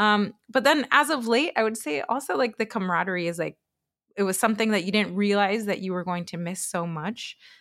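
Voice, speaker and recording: A woman's medium-pitched voice, fairly quick and lively in intonation, on a very clean recording with a silent background. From Chile, raised in Minnesota from age ten. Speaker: interior designer. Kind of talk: casual interview chat. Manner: animated, filler-heavy with laughs.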